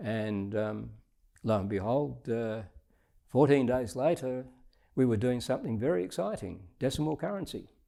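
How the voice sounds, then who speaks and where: A man with an Australian accent and a dark, mellow tone speaks at a medium pitch and a moderate pace, with long, frequent pauses. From Scotland. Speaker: retired diplomat. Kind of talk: interview answer.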